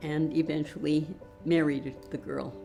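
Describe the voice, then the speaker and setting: A woman's very deep, low voice with an American accent over background music. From Portland, Oregon. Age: 90s. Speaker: author. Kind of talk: interview answer.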